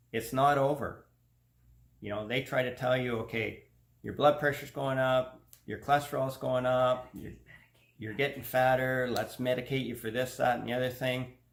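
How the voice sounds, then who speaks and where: A man has a normal speaking voice at medium pitch. He talks at a moderate pace. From Canada. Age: 50s. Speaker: health vlogger. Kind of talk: personal testimony vlog. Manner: casual, conversational.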